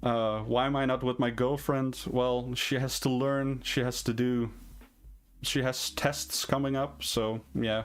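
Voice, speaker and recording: Very even loudness and fairly even intonation at a fairly slow pace, with a Dutch accent. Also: man, medium pitch for a man. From Netherlands. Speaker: indie game developer and streamer. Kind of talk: live stream Q&A. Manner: hesitant, many fillers.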